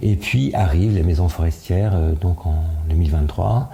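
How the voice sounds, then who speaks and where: A man talks at a fairly slow pace with ordinary pitch variation. Noticeable background noise sits behind him. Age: 70s. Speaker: association president. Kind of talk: interview. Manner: hesitant, many fillers.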